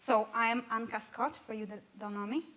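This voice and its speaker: A woman speaks with a Romanian accent. Her pace is fairly quick and her intonation fairly even. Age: 20s. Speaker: church member sharing life story. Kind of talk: testimony.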